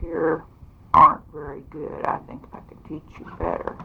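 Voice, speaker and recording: Fairly slow speech from a woman, with noticeable background noise. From Kansas (Reading). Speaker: former state legislator. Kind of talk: oral history interview.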